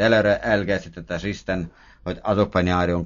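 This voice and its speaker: A man with a non-native accent, fairly even intonation and a fairly quick pace. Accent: foreign accent in Hungarian. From Estonia. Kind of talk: prayer based on scripture reading.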